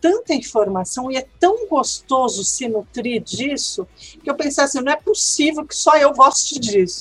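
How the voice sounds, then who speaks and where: Her pitch is high and swings very widely. The woman talks at a fairly slow pace. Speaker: Spanish language teacher and researcher. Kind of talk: interview.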